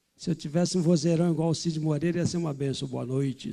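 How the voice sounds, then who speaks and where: The man's voice is fairly high, with ordinary pitch variation. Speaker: pastor. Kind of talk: sermon. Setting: church.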